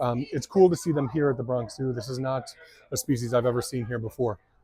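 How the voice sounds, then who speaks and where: A man's normal speaking voice, fairly quick, with ordinary pitch variation and a dry, close sound with no echo. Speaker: turtle content creator. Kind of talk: casual vlog narration. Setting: outdoors at a zoo.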